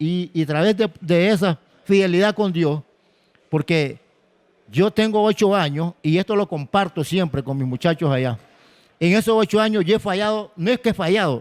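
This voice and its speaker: Pitched high, a man talks at a moderate pace. The recording is very clean with a silent background, dry and close with no echo. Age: 60s. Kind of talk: testimony.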